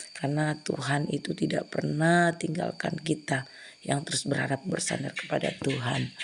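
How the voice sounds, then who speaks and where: This woman's voice is very deep and low, delivered in a flat monotone at a moderate pace. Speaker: hospital prayer minister. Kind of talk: testimony.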